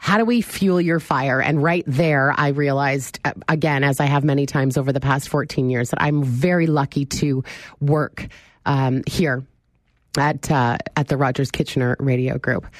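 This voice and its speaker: Her loudness stays very even as this woman talks at a moderate pace. She has a very deep, low pitch with ordinary variation. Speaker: radio talk show host. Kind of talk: casual call-in radio talk. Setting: radio studio.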